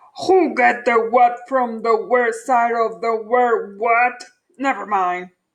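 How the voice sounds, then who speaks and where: Putting on a character voice, a woman growls in a gruff, high-pitched tone at a fairly slow pace. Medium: read story. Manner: snarling, gruff.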